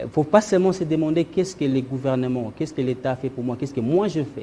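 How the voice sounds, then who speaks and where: A man's fairly high, dark, mellow and somewhat breathy voice at a very fast pace. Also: ordinary pitch variation. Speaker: diaspora businessman. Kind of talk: talk show interview. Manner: halting.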